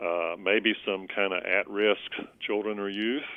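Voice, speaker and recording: In a Southern US accent, a man speaks with a very deep, low pitch and fairly even intonation. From US South, Columbus, Georgia. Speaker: bishop. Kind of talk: interview. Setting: podcast. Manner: halting, many fillers.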